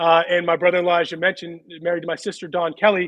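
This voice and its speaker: Speaking at a very fast pace, a man with an American accent has a high pitch. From Pittsburgh, Pennsylvania. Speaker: former baseball player and TV analyst. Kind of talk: casual interview.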